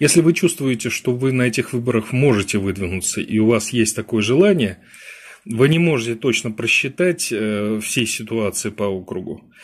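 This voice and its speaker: The background is quiet as a man speaks. His intonation is lively and his pace moderate. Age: 50s. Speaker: political strategist; webinar host. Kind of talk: webinar lecture; lecture. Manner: halting. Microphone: webcam.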